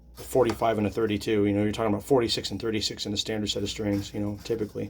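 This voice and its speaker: Mumbling at a very fast pace, a man talks in a fairly low, monotone, flat voice. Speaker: guitar repair technician. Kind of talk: tutorial. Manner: casual, hesitant with many fillers.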